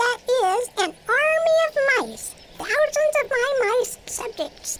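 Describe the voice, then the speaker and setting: A woman's squeaky, put-on character voice at an extremely high pitch, fairly slow, with lively intonation, big swings in loudness and light background noise. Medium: audio drama. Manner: gracious, regal.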